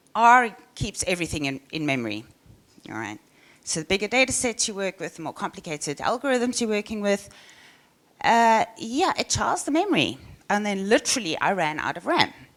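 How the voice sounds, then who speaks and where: A woman in a South African accent speaks at a fairly quick pace with very wide pitch swings around a medium pitch. The recording is very clean, with a silent background. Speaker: software engineer. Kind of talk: conference talk. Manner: halting.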